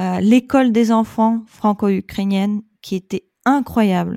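A woman in a Russian accent talks at a very slow pace with a dark, mellow tone. The sound is dry and close with no echo, very clean against a silent background. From Russia, Saint Petersburg. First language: Russian (speaking French). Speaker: expat mother. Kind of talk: casual interview.

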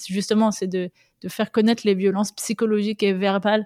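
The recording is very clean with a silent background, capturing a woman's dark, mellow tone and monotone, flat intonation in a dry, close sound with no echo. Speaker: mother sharing personal story of abusive relationship. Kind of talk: testimony. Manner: halting.

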